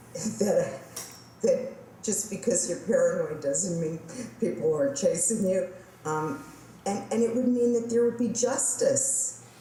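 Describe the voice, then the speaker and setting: In a room with audible echo, a woman with a fairly high pitch and lively intonation speaks at a fairly slow pace, leaving long, frequent pauses. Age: 60s. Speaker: interviewee sharing testimony. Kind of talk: testimony. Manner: halting, with fillers.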